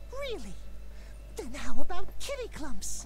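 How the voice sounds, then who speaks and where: A female-sounding voice puts on a character voice. It moves at a fairly slow pace over clear background noise. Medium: video game. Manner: cute, cat puns.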